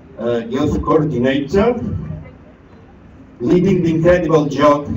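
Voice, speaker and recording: A man with a Catalan accent is heard with audible room echo and noticeable background noise. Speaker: education network leader. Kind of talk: ceremony speech.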